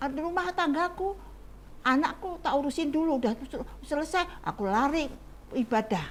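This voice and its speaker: The speaker moves at a moderate pace while the pitch swings very widely up and down. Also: woman. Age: 80s+. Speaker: elderly church volunteer. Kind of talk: testimony.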